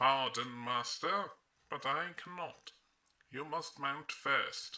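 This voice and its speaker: The pace is very slow as this male speaker uses a put-on character voice. His pitch sits fairly high. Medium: read story. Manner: slow, deliberate, subservient.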